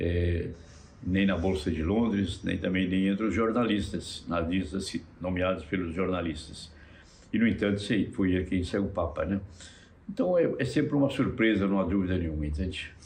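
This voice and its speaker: In a room with audible echo, a man with a very deep, low voice talks at a moderate pace, somewhat breathy, with ordinary pitch variation. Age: 80s+. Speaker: cardinal. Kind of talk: interview. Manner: halting, many fillers.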